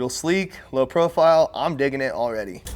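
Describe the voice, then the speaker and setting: A man with a fairly high pitch, amid noticeable background noise. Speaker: fabrication YouTuber. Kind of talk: workshop tutorial vlog. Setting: workshop.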